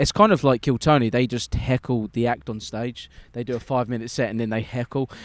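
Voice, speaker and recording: A man with an English accent talks at a fairly quick pace and medium pitch. The sound is dry and close, with no echo. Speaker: stand-up comedian. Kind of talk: casual chat. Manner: animated.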